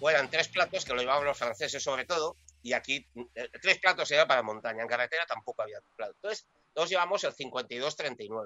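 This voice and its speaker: A man with a normal speaking voice, fairly high pitch, lively intonation and a fairly quick pace. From Valencia region, Spain. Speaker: amateur cyclist. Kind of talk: casual chat.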